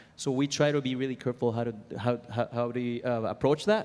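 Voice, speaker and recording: A man speaks at a fairly quick pace. He has a strong Venezuelan accent. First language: Spanish. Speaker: composer and music library owner. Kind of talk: conference panel talk. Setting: stage with audience. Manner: halting, many fillers.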